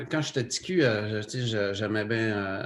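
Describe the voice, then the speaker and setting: Audible room echo and noticeable background noise surround this man as he talks. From Quebec, Lac-Saint-Jean (Saguenay region). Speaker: photographer and TV cameraman. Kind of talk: casual interview chat. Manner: hesitant, many fillers.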